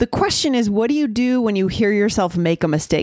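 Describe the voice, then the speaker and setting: Lively in intonation, a woman with an American accent has an ordinary speaking voice and a fairly quick pace. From USA. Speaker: English-learning podcast host. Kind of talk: casual chat.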